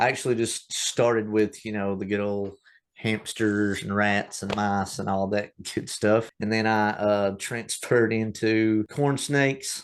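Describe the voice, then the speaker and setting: A man with a Tennessee accent speaks at a fairly slow pace against a quiet background. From US South, East Tennessee. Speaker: reptile breeder. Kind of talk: casual interview.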